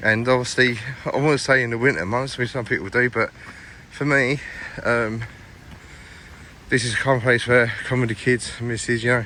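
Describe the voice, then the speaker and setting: Noticeable background noise surrounds a man speaking. His pitch is medium, with ordinary variation. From East London, England. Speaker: travel vlogger. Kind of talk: walking vlog commentary. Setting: outdoors in a park. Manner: casual, repetitive filler speech; fast.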